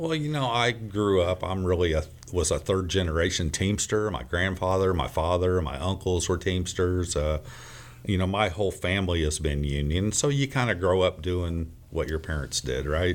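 Noticeable background noise surrounds a man's voice. His very deep, low pitch varies in an ordinary way. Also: moderate pace. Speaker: union business manager. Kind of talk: radio interview.

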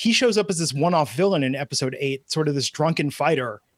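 On a very clean recording with a silent background, a man with an American accent has an unremarkable speaking voice, fairly high pitch and ordinary pitch variation. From US Midwest and California. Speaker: podcast advertising executive and author. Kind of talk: casual chat.

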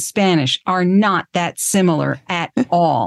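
Against a quiet background, a woman speaks at medium pitch in a normal speaking voice. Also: dry, close sound with no echo. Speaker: podcast host. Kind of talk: interview.

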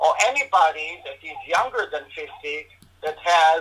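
A man speaks at a high pitch. Noticeable background noise runs behind him. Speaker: integrative medicine doctor. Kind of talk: interview answering questions. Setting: video call.

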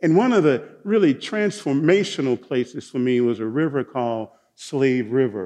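With a Southern US accent, a man speaks in a dark, mellow tone with very wide pitch swings. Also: medium pitch for a man, moderate pace. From Mississippi, US Deep South. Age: 60s. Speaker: pastor. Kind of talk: sermon.

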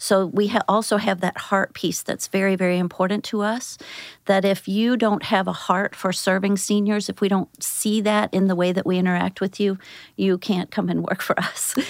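The woman has an American accent and a medium pitch, speaking at a moderate pace with monotone, flat intonation. The recording is very clean with a silent background and a dry, close sound with no echo. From US Midwest, St. Louis area. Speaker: home care outreach director. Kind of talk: interview.

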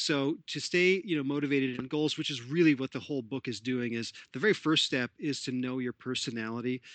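An ordinary speaking voice at a fairly quick pace, with ordinary pitch variation and hardly any pauses. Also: man, medium pitch for a man. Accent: Canadian. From Canada, Toronto. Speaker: sports psychologist. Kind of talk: interview.

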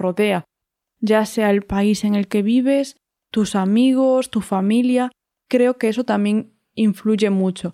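Speaking at a fairly slow pace, a woman with a fairly high pitch and a dark, mellow tone keeps her intonation fairly even, heard in a very clean recording with a silent background and a dry, close sound with no echo. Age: 30s. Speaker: podcast co-host. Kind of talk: casual chat.

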